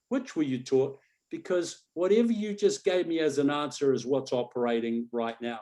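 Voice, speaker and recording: With an Australian accent, a man speaks at a moderate pace in a fairly high pitch, his tone dark and mellow. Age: 60s. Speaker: coach and hypnotist. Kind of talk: webinar panel talk. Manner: animated.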